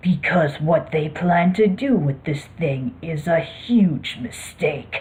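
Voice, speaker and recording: Clear background noise accompanies a woman doing a growling, put-on character voice. She speaks fairly slowly at a fairly low pitch. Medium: read story. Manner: curt, cool, secretive.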